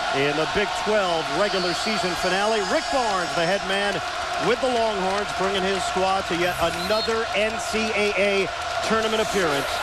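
A man speaks with long, frequent pauses. The sound is dry with no echo, and background noise is loud. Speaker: TV play-by-play announcer. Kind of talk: sports commentary. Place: stadium. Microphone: headset.

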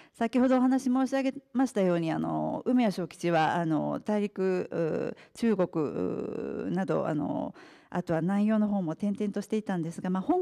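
A woman talks fairly slowly, the background quiet. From Japan, partly raised in England. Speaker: author and restaurant executive. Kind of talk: lecture. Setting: press club talk with audience. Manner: formal. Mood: polite formal speech. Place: hall.

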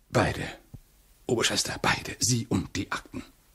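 A man speaks in a raspy, put-on character voice at medium pitch and a moderate pace. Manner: sly, flattering.

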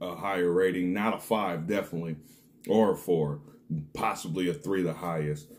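A man's lively intonation carries through his moderately paced speech. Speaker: snack reviewer. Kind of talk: casual vlog chat. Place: home room. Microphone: phone near.

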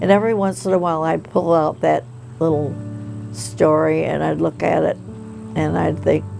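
A woman speaks at a moderate pace in a very deep, low pitch with very wide pitch swings. Clear music plays in the background. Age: 80s+. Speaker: aspiring children's book author. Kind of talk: documentary interview answer. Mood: warm, reflective storytelling. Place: home room.

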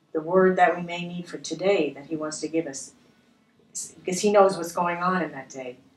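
Heard with audible room echo, a woman speaks at a moderate pace with fairly low pitch and fairly even intonation. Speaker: bible study co-host. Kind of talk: prayer. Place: studio.

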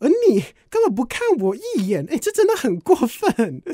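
A dark, mellow tone at a moderate pace with very wide pitch swings, in a very clean recording with a silent background and a dry, close sound with no echo. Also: man. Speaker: radio DJ trainee. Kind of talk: practice radio hosting segment. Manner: upbeat, cheerful.

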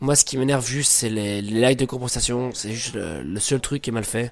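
A man is heard speaking with noticeable background noise behind him. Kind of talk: casual gameplay commentary.

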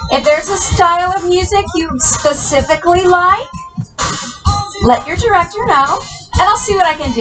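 A woman keeps a moderate pace while music plays in the background. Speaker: fitness instructor. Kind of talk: exercise class cueing. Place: home room.

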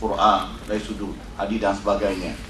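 Noticeable background noise and audible room echo around a man at a moderate pace. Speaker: representative of a Quran institute. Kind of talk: conference speech.

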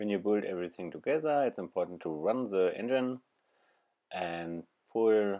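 Fairly slow speech in a dark, mellow tone with a non-native accent, over a quiet background. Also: man. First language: not English. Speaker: DIY car repairer. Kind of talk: DIY car repair tutorial. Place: car.

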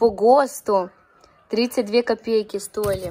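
The voice belongs to a woman with fairly high pitch. Her pace is moderate. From Ukraine, Dnipro region. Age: 20s. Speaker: vlogger. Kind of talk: casual talk to camera. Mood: amused, nostalgic. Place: home room. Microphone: phone near.

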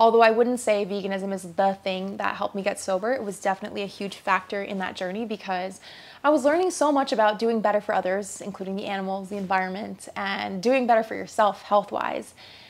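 Talking very fast with hardly any pauses, a woman speaks in an American accent. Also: medium pitch for a woman, fairly even intonation. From US (New York/New Jersey), then Asia. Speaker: lifestyle YouTuber. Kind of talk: personal testimony to camera. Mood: reflective, candid. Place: home room.

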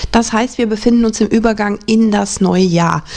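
The speaker is a woman. She keeps a moderate pace. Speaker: tarot reader. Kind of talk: casual presentation to viewers. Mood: warm, calm.

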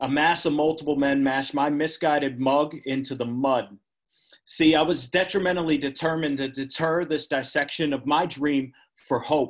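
A man with an American accent, fairly high pitch and fairly even intonation at a moderate pace, against a quiet background. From Pennsylvania. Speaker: poet. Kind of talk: poetry reading. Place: home room. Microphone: video call.

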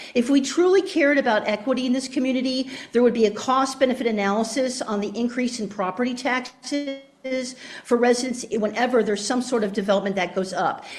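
A woman rattles along very fast at a high pitch, with noticeable noise behind her. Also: ordinary pitch variation. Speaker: public commenter, professor. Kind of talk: public comment. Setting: joining meeting online. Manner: loud, projecting from diaphragm.

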